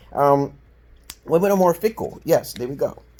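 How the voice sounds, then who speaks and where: In a New York accent, a dark, mellow tone speaks at a fairly quick pace with very wide pitch swings. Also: man. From Brooklyn, New York, USA. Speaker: dating advisor, self-styled counselor. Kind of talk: casual opinion talk to camera.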